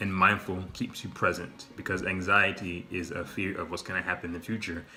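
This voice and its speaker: A man's very deep, low voice in a flat monotone, with music in the background. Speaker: vlogger. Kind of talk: casual monologue. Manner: halting, with repetitions.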